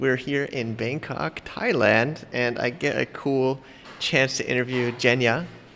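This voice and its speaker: A man's voice at medium pitch, fairly slow, with fairly even intonation and noticeable background noise. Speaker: podcast host. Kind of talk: podcast interview. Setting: coffee shop in Bangkok. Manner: casual, halting.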